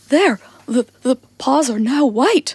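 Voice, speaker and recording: A woman puts on a character voice, high in pitch, shaky and lively in intonation. The sound is dry and close with no echo. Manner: trembling with fear.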